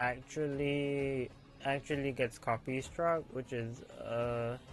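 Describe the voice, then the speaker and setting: Mumbling at a very slow pace, a man talks in a fairly high voice. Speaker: VTuber streamer. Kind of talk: casual gaming livestream talk.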